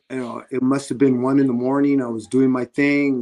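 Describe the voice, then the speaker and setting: A man's unremarkable speaking voice with an American accent, at a fairly quick pace. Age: 60s. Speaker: boxing referee. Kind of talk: interview testimony.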